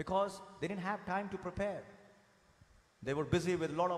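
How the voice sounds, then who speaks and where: With an Indian accent, a man talks in a high-pitched voice. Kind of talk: fervent sermon to a congregation, with call-and-response praise. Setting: church congregation. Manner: animated, emphatic, urging the crowd with raised energy; earnest, with repetition and direct address. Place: church. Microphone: podium.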